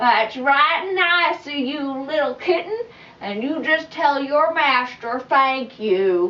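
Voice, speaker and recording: In a put-on character voice, a woman with a high pitch delivers her lines at a fairly slow pace. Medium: read story. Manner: hesitant, rambling.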